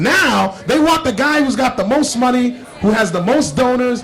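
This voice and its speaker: With a New Jersey accent and a passionate tone, a man speaks at an extremely high pitch over music in the background. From Paterson, New Jersey. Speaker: congressional candidate; air force veteran. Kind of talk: interview answer.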